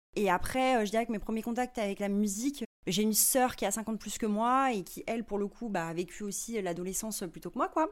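Speaking at a fairly quick pace with hardly any pauses, a woman has an unremarkable speaking voice, a fairly high pitch and ordinary pitch variation. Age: 30s. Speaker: singer-songwriter and visual artist. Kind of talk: interview. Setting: in person at her home studio.

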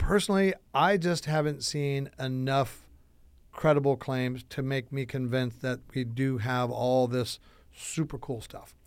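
A man with an American accent and a plain, everyday voice speaks at a fairly slow pace, medium in pitch with ordinary pitch variation, on a very clean recording with a silent background. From US Midwest, Chicago. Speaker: entrepreneur, son of a UFO researcher. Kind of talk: casual interview.

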